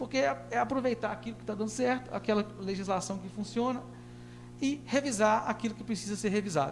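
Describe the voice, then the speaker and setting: Very wide pitch swings at a fairly quick pace, with audible room echo and music in the background. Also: man. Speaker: professor. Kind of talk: public hearing presentation. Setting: council chamber, livestreamed. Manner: halting, frequent fillers.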